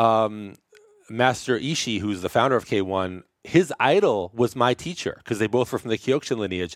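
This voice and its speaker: Moderate pace and lively intonation from a man with an ordinary speaking voice. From New York, Brooklyn. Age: 50s. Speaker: chiropractor. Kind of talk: casual interview chat.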